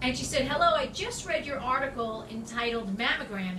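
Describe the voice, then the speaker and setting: Speaking at a moderate pace, a woman with a high-pitched voice is heard over light background noise in a room with audible echo. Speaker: health advice host. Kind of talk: Q&A answer, casual advice. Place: home room. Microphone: phone near.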